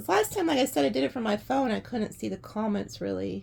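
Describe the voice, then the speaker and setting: There is vocal fry in a woman's voice on a very clean recording with a silent background. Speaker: tarot reader. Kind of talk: tarot reading with casual chat. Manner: casual, rambling with fillers.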